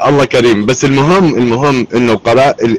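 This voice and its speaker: Noticeable background noise runs behind a man speaking at a medium pitch. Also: dry, close sound with no echo. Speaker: Syrian-American community activist. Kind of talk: live online discussion. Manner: loud.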